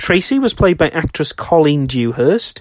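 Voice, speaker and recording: A man talks with a British accent. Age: 20s. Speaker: horror film podcaster. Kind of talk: scripted narration.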